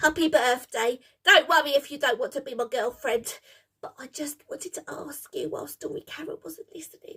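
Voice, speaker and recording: A put-on character voice, high in pitch, at a fairly quick pace. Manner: nervous, excitable.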